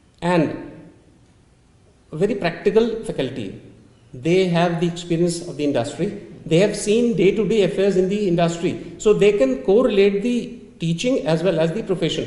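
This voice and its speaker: Amid audible room echo, a man with a high pitch talks at a moderate pace with ordinary pitch variation. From India. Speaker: dean of hospitality management; interview guest. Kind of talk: webinar panel discussion. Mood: calm, reassuring. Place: meeting room.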